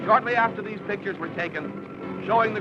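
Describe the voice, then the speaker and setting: A man's raised, projected voice over music in the background. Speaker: newsreel narrator. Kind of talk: 1930s newsreel narration. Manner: dramatic.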